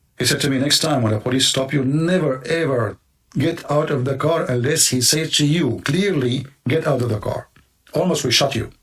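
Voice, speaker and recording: Ordinary pitch variation with an Arabic accent. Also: man, fairly high pitch for a man, moderate pace, very even loudness. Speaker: commentator, video host. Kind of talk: opinion monologue. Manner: animated.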